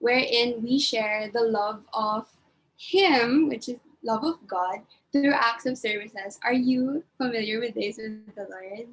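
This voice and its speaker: A woman speaks in a plain, everyday voice, pitched fairly high. Her pitch varies in an ordinary way, and her pace is fairly slow. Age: 20s. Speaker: webinar host. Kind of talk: casual chat.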